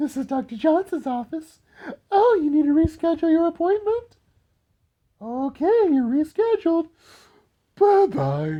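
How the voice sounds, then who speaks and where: This put-on character voice sits at high pitch and a moderate pace. Long, frequent pauses break it up. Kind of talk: stiff, polished phone voice. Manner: fake nice, overly polite.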